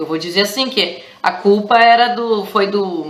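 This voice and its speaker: A woman with a southern Brazilian accent talks over noticeable background noise, and the room echo is audible. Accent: gaúcho (southern Brazilian). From Rio Grande do Sul, southern Brazil. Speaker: teacher. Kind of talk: educational vlog. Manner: casual, with many hesitations.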